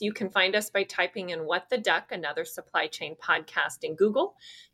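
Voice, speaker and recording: A woman speaks at a fairly quick pace in a normal speaking voice with lively intonation. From US West Coast, California Bay Area. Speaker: podcast host. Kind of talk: interview; scripted outro.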